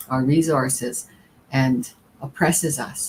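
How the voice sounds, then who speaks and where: Her voice carries a slight breathiness. The speaker is a woman. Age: 60s. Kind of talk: panel talk. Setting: live stream panel.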